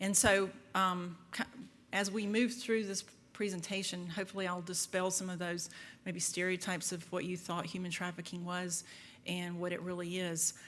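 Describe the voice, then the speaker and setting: In a room with audible echo, a woman speaks at a moderate pace and medium pitch with monotone, flat intonation. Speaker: FBI agent and trainer. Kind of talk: lecture. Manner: loud; halting.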